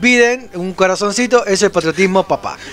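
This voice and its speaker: A man speaks at a high pitch with ordinary pitch variation and a moderate pace. Noticeable background noise runs behind him. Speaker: radio host. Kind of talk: casual chat.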